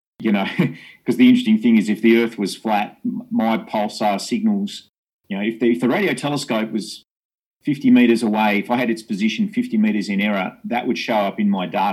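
A man speaking in an Australian accent keeps a fairly quick pace. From Tasmania, Australia (Hobart). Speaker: astrophysicist. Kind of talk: interview.

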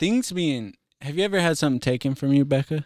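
On a very clean recording with a silent background, a man talks fast at a fairly high pitch, his tone slightly mellow and his intonation lively.

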